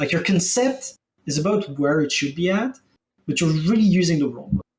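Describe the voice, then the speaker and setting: With a French accent, a man talks at a fairly quick pace in a high pitch with lively intonation. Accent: French accent, pronunciation sometimes off. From France. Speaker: game streamer and economy analyst. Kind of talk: casual chat. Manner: halting, repeats words.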